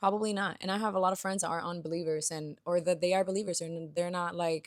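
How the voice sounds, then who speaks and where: Very fast speech from a woman in a Spanish accent, fairly low-pitched and monotone with flat intonation, on a very clean recording with a silent background. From Dominican Republic. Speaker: lifestyle YouTuber. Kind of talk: casual talking-head monologue.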